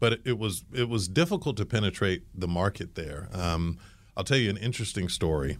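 A man with an ordinary speaking voice, fairly low in pitch, at a fairly quick pace with lively intonation, on a very clean recording with a silent background. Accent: American. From grew up between Germany, the US and England. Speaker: marketing executive. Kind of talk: interview.

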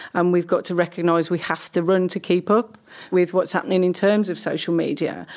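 In an unremarkable speaking voice, a woman talks at a fairly quick pace with a fairly low pitch and fairly even intonation. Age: 40s. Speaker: academic researcher on young people. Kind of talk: interview discussion.

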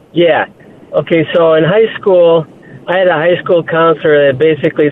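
This man has an ordinary speaking voice. His pitch is fairly high, and his pace is moderate. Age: 60s. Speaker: caller, retired investment professional. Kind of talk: phone-in story. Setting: phone call.

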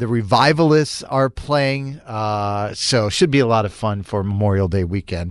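Against a quiet background, a man speaks in an American accent with lively intonation. It is an ordinary speaking voice. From Boston, Massachusetts (Charlestown). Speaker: morning radio host. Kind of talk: morning radio show chat.

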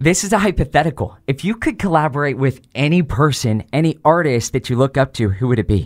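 A normal speaking voice from a man, fairly high in pitch, fairly quick with hardly any pauses and lively intonation, in a very clean, dry, close recording with no echo and a silent background. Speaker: radio host. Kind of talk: radio interview, casual chat. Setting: studio. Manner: upbeat, friendly.

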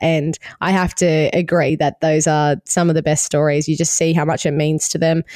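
A woman with an Australian accent speaks at a moderate pace, her pitch very deep and low. Her tone is dark and mellow, and her intonation is monotone and flat. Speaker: podcast host. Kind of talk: casual chat. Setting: remote call.

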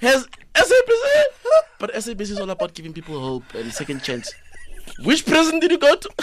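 An animated speaker with a South African accent talks with big swings in loudness and long, frequent pauses. Noticeable background noise runs underneath. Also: man, moderate pace. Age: 20s. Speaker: comedian. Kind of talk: comedic banter. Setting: studio.

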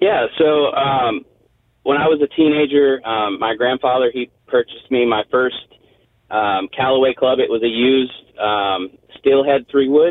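With an American accent, a man speaks in a normal speaking voice at a fairly slow pace. His pitch is medium, with ordinary pitch variation. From US South, Tennessee (Crossville). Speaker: Navy veteran and golf fan. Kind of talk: interview. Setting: phone call.

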